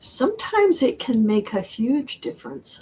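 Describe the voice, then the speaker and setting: The speaker talks at a fairly slow pace. Noticeable background noise runs underneath. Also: woman. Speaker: author. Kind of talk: interview.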